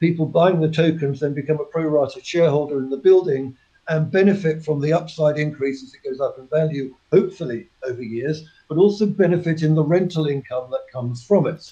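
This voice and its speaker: A man speaks at a fairly quick pace with a southern English accent, his pitch fairly high and his tone dark and mellow. His pitch varies in an ordinary way while his loudness swings widely. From England, near Cambridge. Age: 50s. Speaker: company chairman. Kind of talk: interview.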